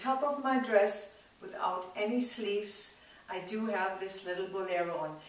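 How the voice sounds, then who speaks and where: A woman speaks with big swings in loudness. Audible room echo surrounds her voice. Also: medium pitch for a woman, ordinary pitch variation, moderate pace. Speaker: sewing tutor. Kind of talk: tutorial. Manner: halting when searching for words.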